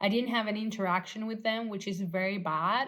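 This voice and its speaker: At a moderate pace, a woman talks with fairly even intonation. Her pitch sits at a medium level. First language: not English. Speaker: former tattoo artist, vlogger. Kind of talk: casual storytelling vlog. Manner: halting, lots of fillers.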